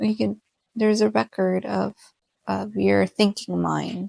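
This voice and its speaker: The speaker has a Spanish accent and a very slow pace. The sound is dry and close, with no echo. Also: woman. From Mexican American. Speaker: podcast host. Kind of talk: casual solo podcast chat. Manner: hesitant with many fillers.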